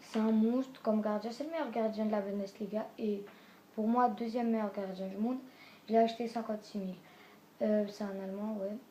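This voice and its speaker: Leaving long, frequent pauses, a woman with a fairly high voice speaks with fairly even intonation. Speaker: gaming youtuber. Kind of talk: video game team presentation. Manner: halting.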